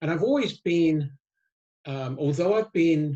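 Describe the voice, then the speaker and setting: Somewhat breathy, a man speaks with an American accent. His pace is moderate. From England. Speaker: risk management author and consultant. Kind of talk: interview. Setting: video call. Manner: halting, many fillers and repeats.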